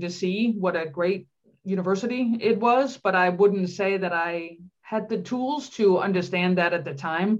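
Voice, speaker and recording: In a Danish accent, a woman speaks at a medium pitch against a quiet background. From Denmark. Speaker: psychology professor. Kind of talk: interview.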